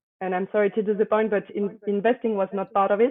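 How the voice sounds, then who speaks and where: This woman talks in a French accent at a medium pitch. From France, Paris. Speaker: private equity associate. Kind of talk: interview.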